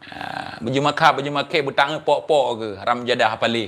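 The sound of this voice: A man's fairly bright voice at a fairly quick pace, with ordinary pitch variation. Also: medium pitch for a man.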